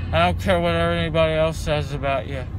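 Fairly slow speech from a man, dry with no echo, amid noticeable background noise. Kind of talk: casual vlog chat. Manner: groggy, slurred post-anesthesia speech. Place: car. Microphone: phone near.

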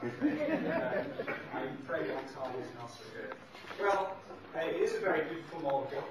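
Man's voice with strong room echo and noticeable background noise. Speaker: guest lecturer. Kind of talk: lecture. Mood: warm, good-humoured. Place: hall.

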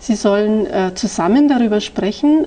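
Noticeable background noise sits behind a woman at a medium pitch. She speaks at a moderate pace with lively intonation. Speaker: language examiner. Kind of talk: oral language exam. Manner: formal.

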